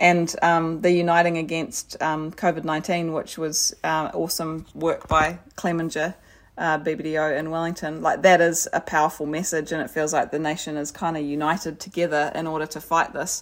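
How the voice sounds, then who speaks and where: A woman speaks with a New Zealand accent and a fairly low pitch. Her delivery is monotone and flat, at a moderate pace with hardly any pauses. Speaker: podcast co-host. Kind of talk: casual interview chat.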